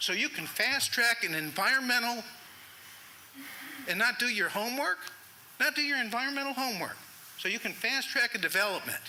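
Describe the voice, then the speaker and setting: Amid noticeable background noise, a man with an extremely high pitch speaks in a raised, projected voice, fairly quickly, with lively intonation and long, frequent pauses. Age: 60s. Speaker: resident speaking at public comment. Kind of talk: public comment at town meeting. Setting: town council meeting.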